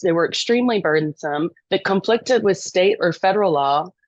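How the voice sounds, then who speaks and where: A woman with an American accent and a medium-pitched voice speaks at a moderate pace, with ordinary pitch variation and a dry, close sound with no echo. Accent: Texan accent, thickens when passionate. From East Texas. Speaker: lobbyist. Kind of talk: podcast interview.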